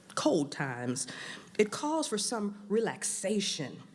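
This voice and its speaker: Speaking very slowly with vocal fry, a woman with an American accent talks at a medium pitch. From US South, New Orleans. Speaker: event emcee. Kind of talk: event announcements to live audience. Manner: animated.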